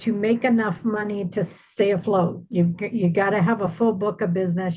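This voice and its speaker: A woman's somewhat breathy voice. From Iowa, US Midwest. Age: 60s. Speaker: senior move manager, business owner. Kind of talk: webinar presentation.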